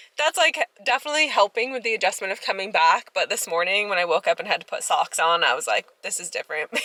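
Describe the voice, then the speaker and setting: Speaking very fast, a woman uses a fairly high pitch and lively intonation. The sound is dry and close, with no echo. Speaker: farmer and vlogger. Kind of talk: casual vlog. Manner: chatty, filler-heavy.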